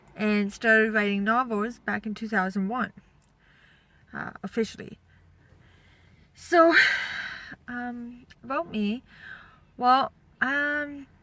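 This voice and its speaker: A woman speaks at a very slow pace with a fairly high pitch, ordinary pitch variation and long, frequent pauses. Her loudness swings widely, and there is noticeable background noise. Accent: Canadian. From Northern Ontario, Canada. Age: 40s. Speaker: novelist and video blogger. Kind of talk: casual vlog talk. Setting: at home with windows open. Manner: hesitant, many fillers.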